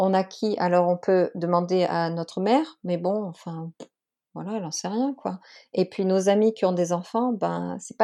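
The woman's medium-pitched voice has a dark, mellow tone and ordinary pitch variation. The background is quiet. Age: 30s. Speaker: stepmother coaching founder. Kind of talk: interview testimony. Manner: hesitant, many fillers.

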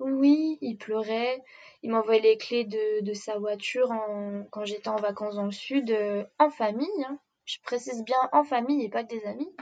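A woman talks at a moderate pace and a fairly high pitch, with ordinary pitch variation. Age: 20s. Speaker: interviewee sharing a breakup story. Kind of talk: personal testimony. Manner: talkative.

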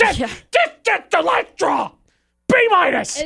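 This put-on character voice is extremely high. Its pitch swings very widely. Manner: sharp, scolding, exasperated.

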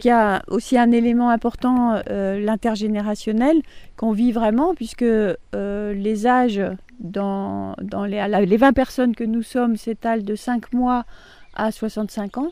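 A woman speaks very slowly in a fairly high pitch, with fairly even intonation and a dark, mellow tone. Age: 60s. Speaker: resident of a participatory housing project. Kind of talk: interview.

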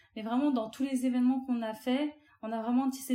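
A woman speaks in a high, flat monotone. Her pace is fairly quick. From France, Algerian family. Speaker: content creator. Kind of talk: casual interview.

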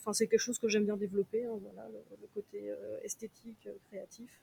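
The somewhat breathy voice has a dry, close sound with no echo. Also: woman. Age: 30s. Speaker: concert organizer. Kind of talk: casual chat.

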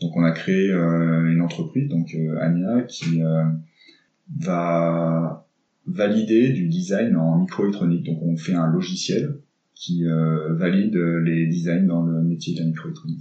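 Speaking very slowly with long, frequent pauses, a man has a very deep, low pitch, a dark, mellow tone and ordinary pitch variation. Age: 40s. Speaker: tech startup cofounder. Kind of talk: interview. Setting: coworking space. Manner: hesitant, many fillers.

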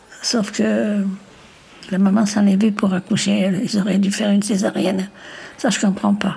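Noticeable background noise behind a woman's voice, medium in pitch and fairly slow in pace. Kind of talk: interview.

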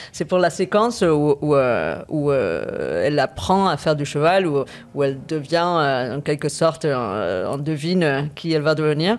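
Very slowly, someone speaks with a slight American accent on a very clean recording with a silent background. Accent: slight American trace. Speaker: film composer. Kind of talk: interview. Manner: halting with repetitions.

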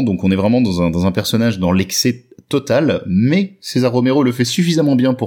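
His tone comes across dark and mellow. This man's pitch rises and falls very widely. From northern France. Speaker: comics expert. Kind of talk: casual chat.

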